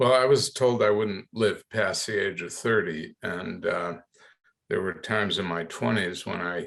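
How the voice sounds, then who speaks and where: Here is a man with an ordinary speaking voice. He goes at a fairly slow pace with ordinary pitch variation. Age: 60s. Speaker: nonprofit executive with diabetes. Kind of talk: podcast interview.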